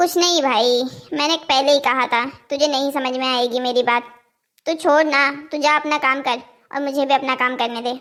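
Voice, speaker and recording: A cartoonish character voice from a woman, high-pitched, with fairly even intonation and a fairly quick pace. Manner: sarcastic, grumbling.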